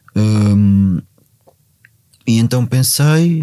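This is a man with a dark, mellow tone. The recording is very clean and the background silent. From Portugal, Ribatejo. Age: 40s. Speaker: former drug addict, outreach worker. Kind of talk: personal testimony. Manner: halting, many fillers and repetitions.

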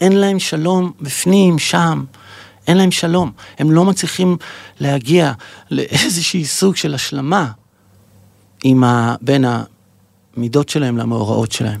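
At a fairly slow pace, a man with a fairly high pitch uses lively intonation and leaves long, frequent pauses. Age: 50s. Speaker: podcast host. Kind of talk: spiritual monologue. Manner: halting.

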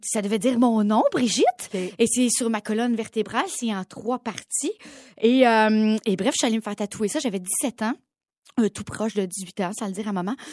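On a very clean recording with a silent background, a woman with an unremarkable speaking voice talks at a moderate pace. Her pitch is fairly high with ordinary variation, and the sound is dry and close with no echo. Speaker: podcast co-host. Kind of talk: casual chat.

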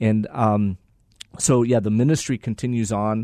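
A man speaks with an American accent at a fairly low pitch. His intonation is fairly even. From Mexico and Texas. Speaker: ministry leader. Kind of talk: interview. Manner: halting.

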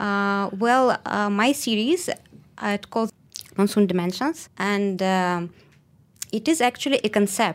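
In a very clean recording with a silent background, a woman speaks at a medium pitch with ordinary pitch variation. Her pace is fairly slow, with long, frequent pauses. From Russia. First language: Russian. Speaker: street photographer. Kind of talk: radio interview. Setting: radio studio.

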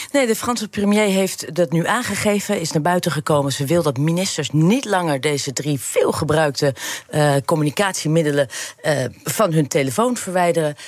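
Over noticeable background noise, a woman talks at a fairly quick pace with a fairly low pitch and lively intonation. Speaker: tech reporter. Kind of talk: casual chat.

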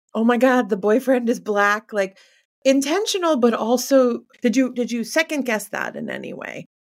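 This woman has a high pitch and speaks with an American accent. Her loudness swings widely while her pitch variation stays ordinary. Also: moderate pace. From northeast India, came of age in New York City. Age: 40s. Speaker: news publisher and interviewer. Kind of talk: interview.

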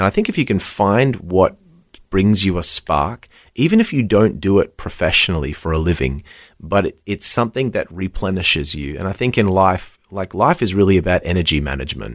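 A man with an Australian accent talks at a fairly quick pace, with a very deep, low pitch and vocal fry. His intonation is lively, on a very clean recording with a silent background. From Western Australia. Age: 30s. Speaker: children's worship leader and preacher. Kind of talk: casual chat; sermon. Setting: studio.

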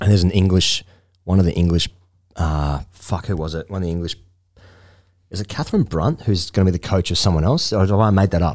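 A man with an Australian accent and a very deep, low pitch speaks at a very fast pace with ordinary pitch variation and long, frequent pauses, in a very clean recording with a silent background. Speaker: cricket podcast host. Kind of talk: casual chat. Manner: animated.

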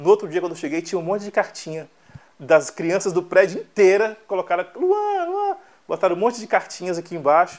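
A man speaks very fast in a high voice, with ordinary pitch variation. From Brazil, southern Bahia. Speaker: songwriter. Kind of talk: interview.

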